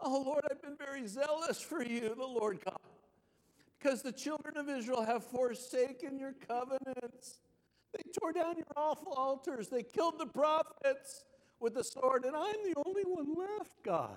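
Someone uses a whiny put-on character voice at a moderate pace. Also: female-sounding voice, high pitch for a woman. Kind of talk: reading scripture aloud.

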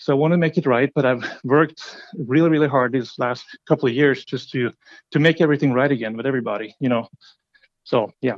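A man talks with a Norwegian accent and a fairly high pitch. He goes at a very fast pace with ordinary pitch variation. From Norway. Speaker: company CEO, entrepreneur. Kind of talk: interview.

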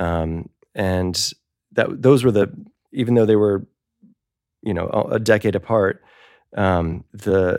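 A man speaks at a fairly slow pace. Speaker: spatial audio and game audio developer. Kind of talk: casual panel discussion. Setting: video call.

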